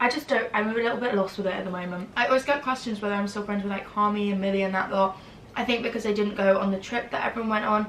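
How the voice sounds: A woman talks at a fast pace with a medium pitch, a fairly bright tone, fairly even intonation and audible room echo.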